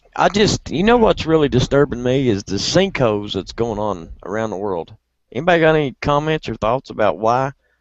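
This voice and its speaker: With an American accent, a man talks at a fairly quick pace. His medium-pitched voice moves in very wide pitch swings. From southern West Virginia. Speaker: video chat host. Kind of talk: casual group chat.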